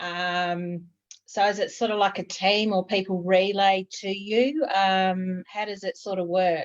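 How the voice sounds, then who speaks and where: A woman speaks at a medium pitch with fairly even intonation in a normal speaking voice. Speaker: equestrian travel company host. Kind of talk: interview questions on video call. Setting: video call.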